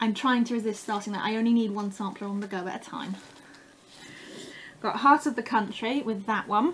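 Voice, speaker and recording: A woman speaks at a fairly quick pace with an English accent. Her pitch is fairly high and her intonation fairly even. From England. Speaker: craft vlogger. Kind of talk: casual haul show-and-tell.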